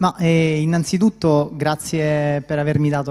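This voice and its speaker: At a fairly high pitch, a man talks with a dark, mellow tone and fairly even intonation. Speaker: military officer presenting award. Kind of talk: award speech. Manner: hesitant, many fillers.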